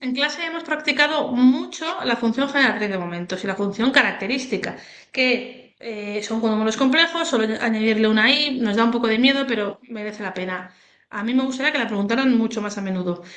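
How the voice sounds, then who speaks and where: At a fairly quick pace, a woman speaks with fairly high pitch and ordinary pitch variation. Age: 30s. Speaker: statistics teacher. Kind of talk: tutorial. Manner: animated, casual.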